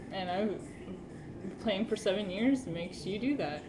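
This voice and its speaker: A woman speaks at a moderate pace with a medium pitch and ordinary pitch variation. Room echo is audible, and background noise is noticeable. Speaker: amateur musician vlogger. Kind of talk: casual webcam vlog. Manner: hesitant with fillers. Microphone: camera far away, voice quiet.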